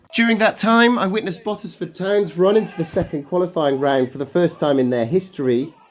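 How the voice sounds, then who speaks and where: Fairly quick speech in an English Midlands accent, with hardly any pauses and noticeable background noise. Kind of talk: football matchday vlog voiceover.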